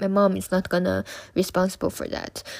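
In a very clean recording with a silent background, a woman with a Chinese accent talks at a moderate pace and a medium pitch. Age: 20s. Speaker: student podcaster sharing personal story. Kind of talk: personal testimony monologue. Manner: unscripted, hesitant with fillers.

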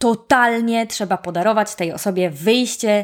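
At a moderate pace, the animated tone comes through on a very clean recording with a silent background. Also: woman. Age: 30s. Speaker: podcast host. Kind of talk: casual solo podcast talk.

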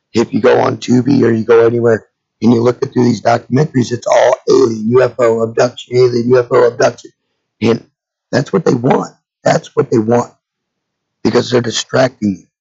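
A man talks at a fairly quick pace with a medium pitch. His voice is somewhat breathy. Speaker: podcast host. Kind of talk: casual monologue. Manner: animated; repetitive, stammering.

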